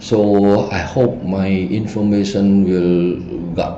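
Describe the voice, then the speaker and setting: With a Cambodian accent, a man speaks at a very deep, low pitch. There's audible room echo and noticeable background noise. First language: Khmer. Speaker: feng shui teacher. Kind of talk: lecture. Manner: halting.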